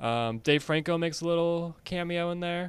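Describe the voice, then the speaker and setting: The speaker is a man with an American accent. The recording is very clean, with a silent background. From Connecticut. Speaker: movie podcast co-host. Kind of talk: casual chat.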